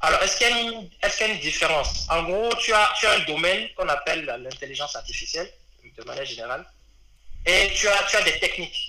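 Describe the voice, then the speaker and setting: Amid noticeable background noise and audible room echo, a man speaks at a fairly quick pace. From Benin. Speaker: data engineer. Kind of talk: interview. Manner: hesitant, many fillers.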